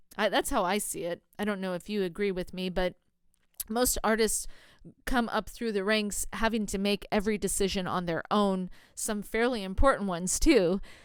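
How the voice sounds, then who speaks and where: This woman talks at a moderate pace with a medium pitch and an American accent. The recording is very clean, with a silent background. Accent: sometimes sounds like a Valley girl. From US Pacific Northwest, Oregon. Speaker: podcast host. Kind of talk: podcast monologue.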